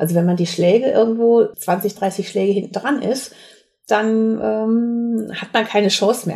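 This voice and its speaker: At a fairly slow pace, a woman speaks with a fairly high pitch, a dark, mellow tone and fairly even intonation. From Sauerland, western Germany. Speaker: competitive minigolf player. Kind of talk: interview.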